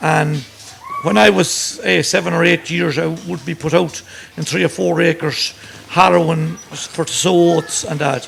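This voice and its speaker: A man talks with lively intonation in a Sligo accent. Noticeable background noise runs under his voice. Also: fairly high pitch for a man, fairly slow pace. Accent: rural Irish, Sligo. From Ireland, County Sligo. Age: 60s. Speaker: farmer. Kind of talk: interview.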